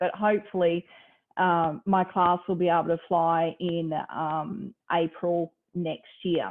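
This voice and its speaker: A woman speaks at a medium pitch with a slight Australian accent. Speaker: university lecturer, space program trainee. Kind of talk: informal talk at online event.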